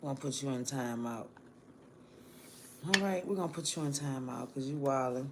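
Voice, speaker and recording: Fairly quick speech broken by long, frequent pauses, with noticeable background noise. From New Orleans, Louisiana. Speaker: live streamer. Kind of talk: casual live-stream chat with viewers. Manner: animated.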